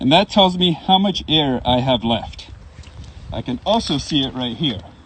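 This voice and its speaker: A man talks at a fairly slow pace, his pitch swinging very widely, with noticeable background noise behind him. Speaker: firefighter giving a station tour. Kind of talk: educational demonstration for children. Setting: fire station, live stream. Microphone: speaking through breathing mask with built-in microphone.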